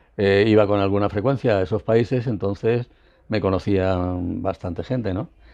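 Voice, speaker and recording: A man talks at a moderate pace with a fairly low pitch, ordinary pitch variation and a dark, mellow tone. The background is quiet. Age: 70s. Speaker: former intelligence agent and author. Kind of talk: interview.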